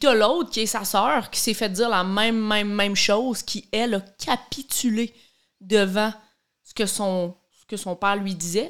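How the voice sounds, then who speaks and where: Her pace is fairly slow and her pitch is medium for a woman. She speaks with a Quebec accent and fairly even intonation. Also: very clean recording, silent background. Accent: Québécois French. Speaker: podcast co-host, daughter. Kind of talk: casual chat.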